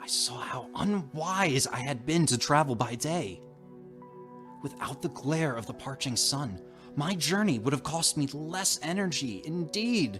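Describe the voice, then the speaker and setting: Over music in the background, a man with a fairly high pitch speaks at a fairly slow pace with lively intonation. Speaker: narrator and channel host. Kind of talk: dramatic horror reading of a classic short story. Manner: atmospheric, dramatic.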